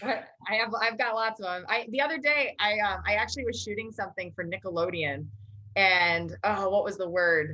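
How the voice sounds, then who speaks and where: The speaker has an American accent, vocal fry and a bright, sharp tone, talking at a fairly quick pace with ordinary pitch variation. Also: woman, medium pitch for a woman. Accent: Minnesota accent, slight, trained down. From Minnesota, Maple Grove. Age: 40s. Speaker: news correspondent. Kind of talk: casual interview.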